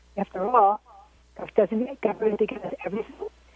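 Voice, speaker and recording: A woman talks at a fairly quick pace with ordinary pitch variation, recorded with a dry, close sound and no echo but noticeable background noise. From Maryland Eastern Shore. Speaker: caller. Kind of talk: call-in discussion. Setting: phone call.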